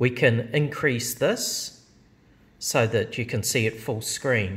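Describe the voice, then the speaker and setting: Very slowly, a man delivers his words. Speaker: software demonstrator. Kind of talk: tutorial. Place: office. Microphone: phone near.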